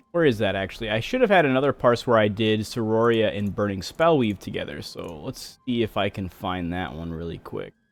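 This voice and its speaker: A man's fairly low voice, lively in intonation and fairly quick in pace, over background music. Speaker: game streamer. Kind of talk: live gameplay stream commentary.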